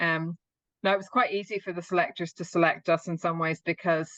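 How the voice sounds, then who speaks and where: In an Irish accent, a woman speaks at a moderate pace with fairly low pitch and fairly even intonation, the sound dry and close with no echo against a quiet background. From Northern Ireland. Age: 50s. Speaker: open water swimmer. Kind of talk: interview.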